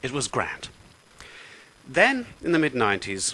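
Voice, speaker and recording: Noticeable background noise surrounds this man's voice. He speaks with an Irish accent and very wide pitch swings. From Ireland. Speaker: political video blogger. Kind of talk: political rant. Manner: animated.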